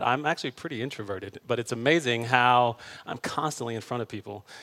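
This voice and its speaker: A man speaks at a fairly quick pace in a bright, sharp tone. The sound is dry and close, with no echo. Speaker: pastor. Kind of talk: sermon. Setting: church stage before congregation. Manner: halting, many fillers.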